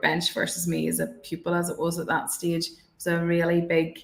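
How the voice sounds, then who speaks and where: A fairly quick pace in a Northern Irish accent. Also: woman. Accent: rural Northern Irish. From Northern Ireland, countryside. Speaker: barrister. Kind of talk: panel discussion. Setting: online webinar. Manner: hesitant, many fillers.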